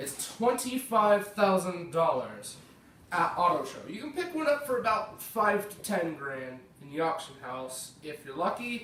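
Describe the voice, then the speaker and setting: Fairly slow speech with an American accent, amid noticeable background noise and audible room echo. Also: man. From United States. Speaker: gaming YouTuber. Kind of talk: gameplay commentary. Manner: casual.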